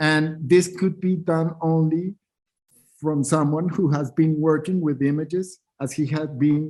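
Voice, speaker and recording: In a Spanish accent, a man speaks at a fairly slow pace with a fairly high pitch and fairly even intonation. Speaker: artist and curator. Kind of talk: panel discussion. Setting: online symposium, video call. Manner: halting, many repetitions.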